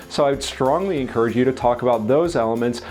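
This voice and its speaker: Music plays in the background while a man speaks fairly quickly. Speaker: real estate agent and content coach. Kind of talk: tutorial. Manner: occasional stumble over words.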